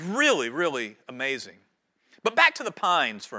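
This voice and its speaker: In a North Carolina accent, a man projects a raised voice at a high pitch with very wide pitch swings. His tone is bright and sharp. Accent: US Southern (North Carolina). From North Carolina Piedmont (High Point). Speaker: pastor. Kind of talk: sermon.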